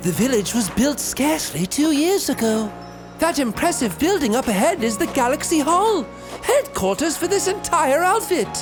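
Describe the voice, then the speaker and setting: Over loud background music, a man puts on a nasal character voice and talks at a moderate pace. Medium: solo performance. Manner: quirky, polite, old-fashioned.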